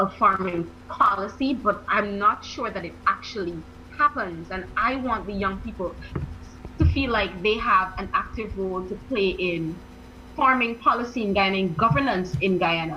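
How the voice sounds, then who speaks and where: A woman at a moderate pace amid audible room echo and noticeable background noise. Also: medium pitch for a woman, ordinary pitch variation. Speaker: academic, youth advocate. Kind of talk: radio interview.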